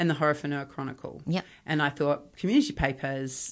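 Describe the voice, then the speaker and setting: Speaking with a New Zealand accent, a woman uses a very deep, low pitch at a moderate pace. The background is quiet. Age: 50s. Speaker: journalist and broadcaster. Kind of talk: interview conversation.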